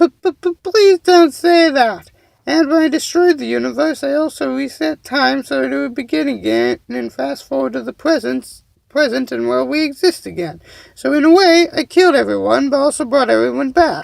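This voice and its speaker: In a put-on character voice, a man speaks at an extremely high pitch. His pace is moderate. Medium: read story. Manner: flustered.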